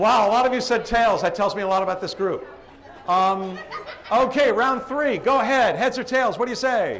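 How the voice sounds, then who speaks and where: Over noticeable background noise, a man with an American accent speaks at a moderate pace. His voice is extremely high, with ordinary pitch variation. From Boston, Massachusetts area. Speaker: professional live auctioneer and event emcee. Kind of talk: live event emcee running a crowd game. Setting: hotel ballroom with a crowd.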